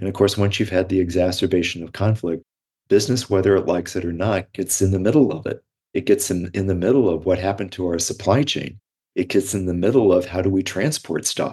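Somewhat breathy and very fast, a man talks in a very deep, low pitch with a dark, mellow tone. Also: ordinary pitch variation, quiet background. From US Midwest. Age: 60s. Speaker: professor and author. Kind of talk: interview conversation.

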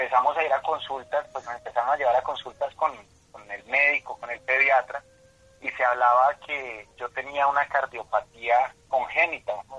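At medium pitch and a moderate pace, a man speaks with fairly even intonation. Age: 30s. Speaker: patient advocate. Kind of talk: radio interview. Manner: halting, many fillers.

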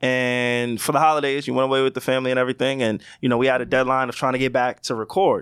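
A man speaks at a medium pitch and a fairly quick pace. The recording is very clean, with a silent background. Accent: New York. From New York (Queens, then Long Island). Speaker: podcast co-host. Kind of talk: casual chat. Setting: studio. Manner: animated.

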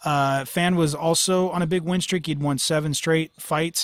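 A man talks fairly quickly with an American accent and fairly even intonation. He has an unremarkable speaking voice. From Northern California. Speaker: MMA podcast host. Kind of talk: casual chat.

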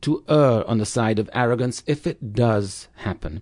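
Against a quiet background, a man with a medium pitch and a dark, mellow tone speaks with lively intonation. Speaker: clinical psychologist. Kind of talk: expert interview, advice-giving.

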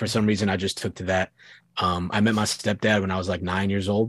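Monotone and flat, a man's very deep, low voice comes through with a dry, close sound and no echo. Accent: American. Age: 20s. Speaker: hardcore band frontman. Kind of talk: casual chat.

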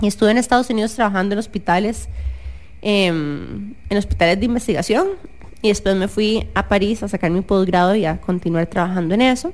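At a fairly quick pace, a woman with medium pitch and vocal fry speaks with ordinary pitch variation. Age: 30s. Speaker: podcast co-host, neuroscientist. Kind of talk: casual chat. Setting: radio studio.

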